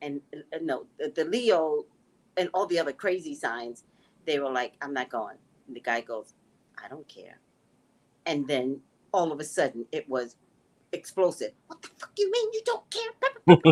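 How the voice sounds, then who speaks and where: Speaking at a moderate pace in an animated tone, a woman leaves long, frequent pauses, and her loudness swings widely. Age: 60s. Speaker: psychic tarot reader. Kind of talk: casual chat. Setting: live stream.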